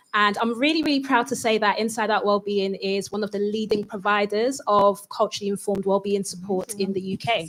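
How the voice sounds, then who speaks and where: Speaking in a London accent, a woman moves at a fairly quick pace with hardly any pauses. Her pitch is medium, with ordinary variation. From East London, Newham (Ghanaian heritage). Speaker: psychotherapist. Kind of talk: panel discussion.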